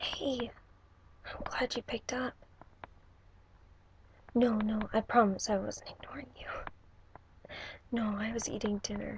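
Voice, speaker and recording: The speaker is soft-spoken. The delivery moves at a fairly slow pace. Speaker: ASMR creator. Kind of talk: ASMR video call role play.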